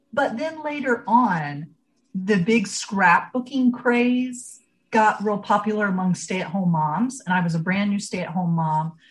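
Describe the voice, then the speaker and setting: In an American accent, a woman speaks at a moderate pace and medium pitch, somewhat breathy, with lively intonation. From rural Ohio, US Midwest. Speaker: genealogy educator and blogger. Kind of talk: casual interview.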